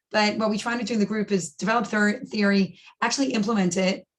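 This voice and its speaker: This woman sounds somewhat breathy, and her pitch varies in an ordinary way. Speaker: professor. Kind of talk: lecture. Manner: fast.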